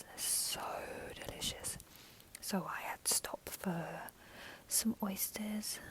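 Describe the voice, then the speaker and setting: A woman whispering at a very slow pace, long, frequent pauses and noticeable background noise. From London, England. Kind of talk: casual talk to camera. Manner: soft-spoken.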